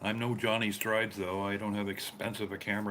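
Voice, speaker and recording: In a Canadian accent, the speaker rushes at a very fast pace with monotone, flat intonation. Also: man. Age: 60s. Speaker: live streamer. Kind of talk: casual live-stream chat.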